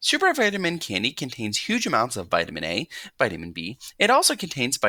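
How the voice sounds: The clip features a natural reading voice.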